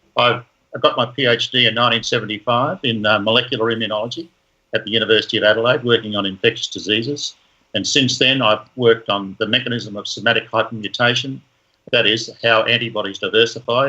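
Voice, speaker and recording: A man with an Australian accent speaks at a very fast pace. His pitch sits in the medium range and his intonation stays fairly even. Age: 70s. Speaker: professor. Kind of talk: interview.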